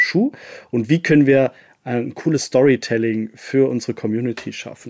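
Recorded very cleanly against a silent background, a man speaks at a moderate pace in a medium pitch. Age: 30s. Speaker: head of social media team. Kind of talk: casual interview. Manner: frequent hesitations and fillers.

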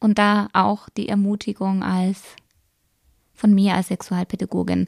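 Dry and close with no echo, a woman's somewhat breathy, dark and mellow voice moves at a very slow pace in a medium pitch. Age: 30s. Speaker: sex educator and podcast host. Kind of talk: educational podcast monologue.

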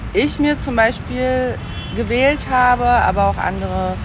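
Speaking at a fairly slow pace, a woman is heard with audible room echo and music playing in the background. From Berlin (East Berlin), born in Siberia. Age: 30s. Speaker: journalist and podcast editor. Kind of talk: interview. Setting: outdoors.

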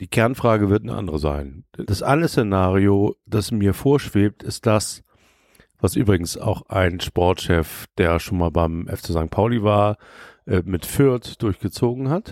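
A man with a normal speaking voice and a fairly low pitch talks at a fairly slow pace, in a very clean recording with a silent background and a dry, close sound with no echo. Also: lively intonation. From Hamburg. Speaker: DJ and podcaster, St. Pauli fan. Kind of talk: casual chat. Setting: recording in a shop with beer.

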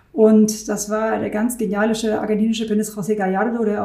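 Over noticeable background noise and audible room echo, a woman speaks at a fairly quick pace in a fairly high pitch. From Germany, Rhineland near Düsseldorf. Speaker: concert hall director. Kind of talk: interview.

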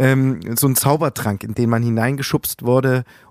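A man's normal speaking voice at a medium pitch and moderate pace, in a very clean recording with a silent background. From Saxony, eastern Germany (Plauen, Vogtland). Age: 30s. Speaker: musician. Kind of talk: interview.

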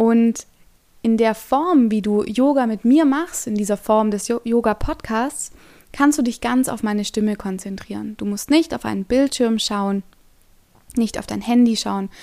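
Her fairly high voice has a dark, mellow tone, and the woman speaks fairly slowly with ordinary pitch variation on a very clean recording with a silent background. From Stuttgart, Germany. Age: 20s. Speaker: yoga teacher. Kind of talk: podcast monologue.

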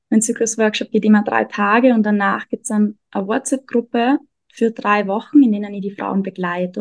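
Using a normal speaking voice, a woman talks at a moderate pace with a fairly high pitch and fairly even intonation, in a dry, close sound with no echo. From Austria. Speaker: energy worker and self-discovery coach. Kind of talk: interview.

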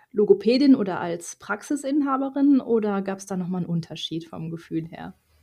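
A woman talks at a moderate pace with lively intonation and a dark, mellow, somewhat breathy tone. The background is quiet. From Ruhr area, Germany. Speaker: podcast host and supervisor coach. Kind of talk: interview.

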